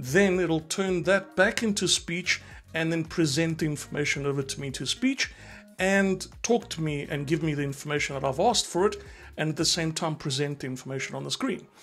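Over faint background music, a man with a fairly high pitch and a fairly bright tone speaks at a moderate pace with ordinary pitch variation.

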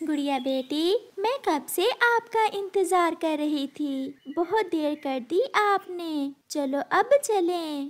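A woman uses a put-on character voice, extremely high in pitch, with lively intonation. She speaks slowly with few pauses.

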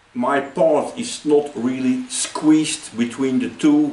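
A man at a very slow pace, with audible room echo. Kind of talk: tutorial. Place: workshop. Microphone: camera far.

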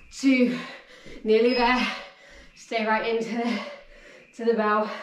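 Audible room echo and light background noise surround a woman's voice. She speaks at a fairly slow pace in a monotone, flat intonation. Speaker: fitness instructor. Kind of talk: workout instruction. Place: home room.

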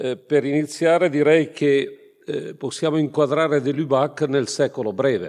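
A man with a fairly high pitch speaks at a very slow pace. His pitch variation is ordinary, and the background is quiet. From northern Italy, Brescia province. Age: 60s. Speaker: priest and theology professor. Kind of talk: lecture. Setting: conference hall with audience. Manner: halting. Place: hall. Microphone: podium.

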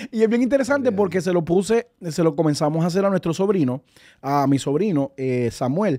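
Over a quiet background, a man's dark, mellow tone sits at a fairly high pitch, swinging very widely in pitch at a moderate pace. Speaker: radio co-host; radio program host. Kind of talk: devotional talk. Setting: studio. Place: studio. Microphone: studio mic.

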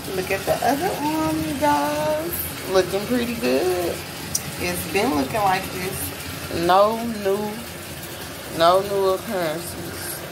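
Over noticeable background noise, a woman speaks at a very slow pace with long, frequent pauses. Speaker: vlogger giving a skin condition update. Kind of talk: casual vlog chat. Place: home room. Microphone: phone near.

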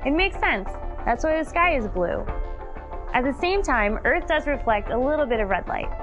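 Clear music plays in the background behind a woman with a high pitch. She keeps a moderate pace and very even loudness. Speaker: scientist. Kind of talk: science documentary narration. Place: studio.

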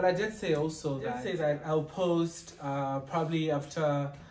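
A man talks fairly slowly, his intonation fairly even, with audible room echo around him. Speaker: vlogger. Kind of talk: casual vlog chat. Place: home room. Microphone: camera far.

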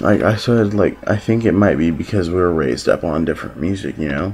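A man speaks at a moderate pace with a very deep, low pitch. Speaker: vlogger. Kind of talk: casual vlog chat. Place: home room. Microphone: phone near.

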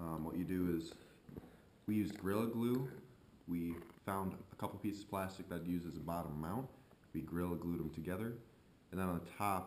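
Under light background noise and audible room echo, a man with a very deep, low voice speaks at a fairly quick pace with ordinary pitch variation. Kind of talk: tutorial. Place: garage.

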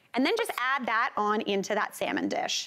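There is noticeable background noise behind this woman. She talks at a moderate pace. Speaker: cooking show host. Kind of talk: tutorial. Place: studio. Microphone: lapel.

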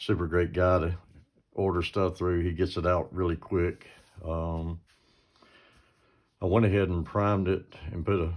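Over a quiet background, a man with a very deep, low pitch speaks at a moderate pace in monotone, flat intonation, leaving long, frequent pauses. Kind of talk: tutorial. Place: workshop. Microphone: phone near.

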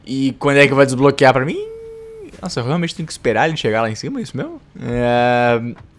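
Over noticeable background noise, a man at a medium pitch speaks at a very fast pace, with big swings in loudness and ordinary pitch variation. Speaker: gaming youtuber. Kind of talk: gameplay commentary. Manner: animated.

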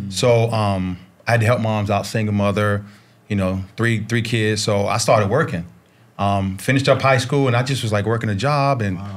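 With an American accent, a man talks in a plain, everyday voice at a fairly low pitch. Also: ordinary pitch variation, moderate pace. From US South, Charlotte, North Carolina. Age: 50s. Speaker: basketball coach and former pro player. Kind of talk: casual chat. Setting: studio. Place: studio. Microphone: studio mic.

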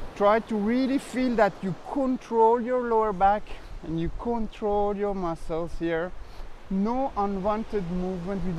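Pitched high, a man speaks at a very slow pace. The sound is dry with no echo, and there is light background noise. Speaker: pilates instructor. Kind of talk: bilingual exercise instruction. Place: beach.

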